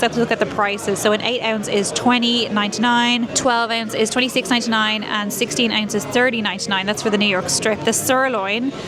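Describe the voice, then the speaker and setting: Over noticeable background noise and audible room echo, a woman with a fairly high pitch talks at a fairly quick pace with fairly even intonation. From Ireland. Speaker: food vlogger. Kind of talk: casual vlog narration. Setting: restaurant.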